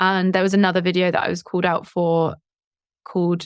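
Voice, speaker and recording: Here a woman speaks with a Southern English accent at a medium pitch. Her moderate pace comes through a very clean recording with a silent background. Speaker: YouTube English teacher and entrepreneur. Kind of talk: podcast interview.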